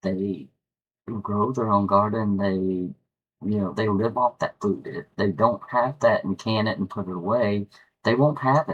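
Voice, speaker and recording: With a slight West Virginia accent, a man talks at a fairly slow pace. His fairly low voice shows ordinary pitch variation. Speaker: YouTuber. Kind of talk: casual monologue. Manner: halting, frequent repetitions.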